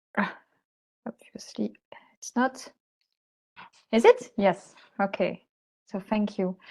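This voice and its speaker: A woman with a French accent at a very slow pace, somewhat breathy and medium in pitch, with fairly even intonation, big swings in loudness, long, frequent pauses and a dry, close sound with no echo. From France. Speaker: researcher, lecturer. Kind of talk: lecture.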